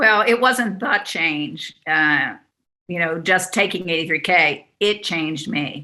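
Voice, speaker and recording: Her tone bright and sharp, a woman speaks at a moderate pace with a fairly low pitch. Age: 60s. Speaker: speaker and author, program graduate. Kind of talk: testimonial. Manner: hesitant with fillers.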